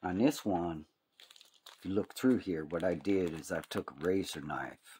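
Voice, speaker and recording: With an American accent, a man talks in a very deep, low pitch with ordinary pitch variation, the sound dry and close with no echo. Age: 60s. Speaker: hobby YouTuber. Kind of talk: casual tutorial. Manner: casual, rambling.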